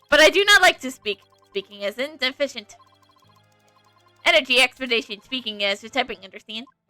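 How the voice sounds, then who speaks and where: A woman's robotic, put-on character voice, high in pitch, at a fairly quick pace with long, frequent pauses and faint music in the background. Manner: flat, curt, efficient.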